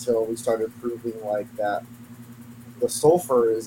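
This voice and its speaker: Against noticeable background noise, a man talks at a moderate pace with a medium pitch. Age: 30s. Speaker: reptile keeper and breeder. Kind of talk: casual chat.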